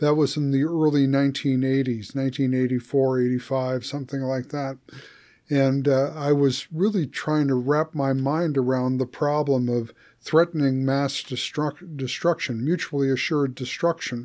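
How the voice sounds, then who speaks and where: The recording is very clean, with a silent background. A man with a fairly high pitch talks at a moderate pace in an ordinary speaking voice. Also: fairly even intonation. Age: 60s. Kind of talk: casual conversation.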